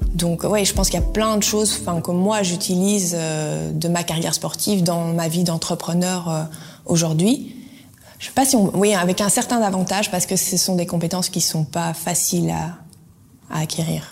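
With long, frequent pauses, a woman speaks at a moderate pace in a fairly low voice with ordinary pitch variation. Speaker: former sprinter, clothing entrepreneur. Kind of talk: interview.

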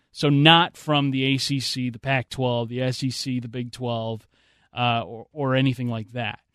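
Over a quiet background, a man with an unremarkable speaking voice talks at a moderate pace and medium pitch with fairly even intonation. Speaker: radio sports host. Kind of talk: live sports radio show patter, bantering with co-host and teasing upcoming segments. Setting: radio studio.

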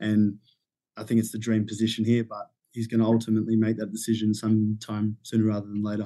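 With an Australian accent, a man talks at a very fast pace. His pitch is fairly low and his intonation is monotone and flat. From Sydney, Australia. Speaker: intern, social media worker. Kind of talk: casual sports podcast chat.

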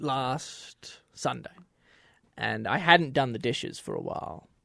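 A man talks with an Australian accent and vocal fry. The background is quiet. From Australia, Melbourne. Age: 20s. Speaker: former American football player. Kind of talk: casual chat.

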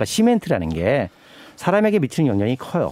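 A man's dark, mellow tone at a very fast pace, with very wide pitch swings. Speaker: environmental activist and pastor. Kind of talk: interview. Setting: studio.

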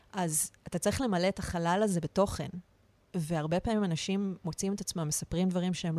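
A woman speaks at a moderate pace with ordinary pitch variation. Her voice is fairly low in pitch, with a dark, mellow tone. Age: 40s. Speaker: art director acting as guest interviewer. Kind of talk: casual interview chat; reading a prepared opener aloud.

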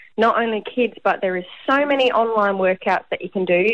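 This woman has an Australian accent and a fairly high pitch. Her intonation stays fairly even. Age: 30s. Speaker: athlete. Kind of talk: radio interview.

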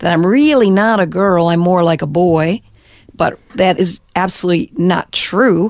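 A fairly slow American accent with ordinary pitch variation and very even loudness. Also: woman, medium pitch for a woman. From US, Detroit area, Michigan. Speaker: former missionary sharing testimony. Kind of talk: testimony. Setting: studio.

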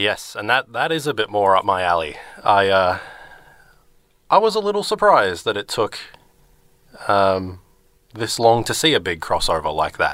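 A man with an Australian accent at a moderate pace, with long, frequent pauses, on a very clean recording with a silent background. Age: 20s. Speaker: returning radio co-presenter, video game fan. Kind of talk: casual chat on a radio show. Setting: radio studio. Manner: hesitant, many fillers and restarts.

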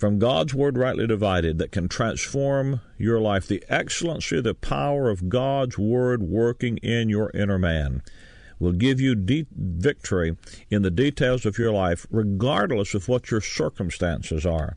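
With a Southern US accent, a man speaks at medium pitch using lively intonation. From US South. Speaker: Bible teacher. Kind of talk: radio Bible teaching. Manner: plain, direct.

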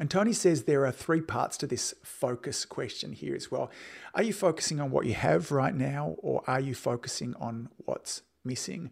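Heard in a very clean recording with a silent background, a man with an Australian accent speaks at a moderate pace in a fairly high voice with vocal fry and lively intonation. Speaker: podcast host and chiropractic business coach. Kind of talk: solo podcast monologue.

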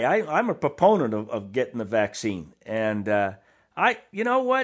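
At a moderate pace, the speaker has an animated, enthusiastic tone with lively intonation. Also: man. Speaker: radio co-host, basketball analyst. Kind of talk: sports radio banter, opinionated analysis. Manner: conversational, animated, enthusiastic.

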